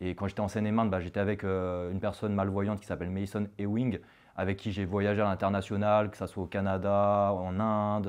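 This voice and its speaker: A man's fairly low voice in a monotone, flat intonation, against a quiet background. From France, Haute-Savoie. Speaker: cross-border worker, entrepreneur. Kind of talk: interview. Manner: halting, many fillers.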